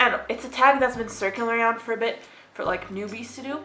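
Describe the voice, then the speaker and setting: Music plays in the background as a woman speaks amid audible room echo. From Egypt. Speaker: book vlogger. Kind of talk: casual vlog talk. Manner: stutters at times; dry, sarcastic delivery.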